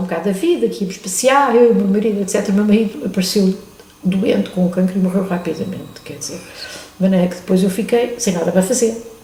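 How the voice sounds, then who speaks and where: A woman talks at a medium pitch and a fairly quick pace with lively intonation. Audible room echo and noticeable background noise fill the recording. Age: 70s. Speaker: retired chemistry professor, museum volunteer. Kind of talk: interview. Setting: museum.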